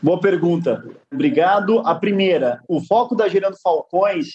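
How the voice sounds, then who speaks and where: A man speaks with a high pitch at a fairly slow pace. His pitch varies in an ordinary way. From Guarulhos, São Paulo, Brazil. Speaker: social entrepreneur, NGO founder. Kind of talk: interview. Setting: livestream.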